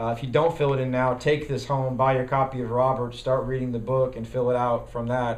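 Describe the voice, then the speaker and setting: A man speaks at a very fast pace in a medium pitch with monotone, flat intonation, and audible room echo surrounds him. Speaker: party bylaws committee chair and parliamentarian trainer. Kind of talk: training lecture.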